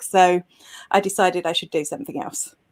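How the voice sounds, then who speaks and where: With a British accent, a woman speaks at a fairly quick pace. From Britain. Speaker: social media expert and blogger. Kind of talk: interview. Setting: live video show.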